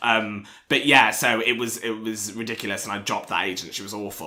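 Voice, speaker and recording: A man with fairly low pitch speaks at a very fast pace. Audible room echo and noticeable background noise come through. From England, Newark, Nottinghamshire. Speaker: comedy screenwriter. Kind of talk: casual chat. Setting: home kitchen.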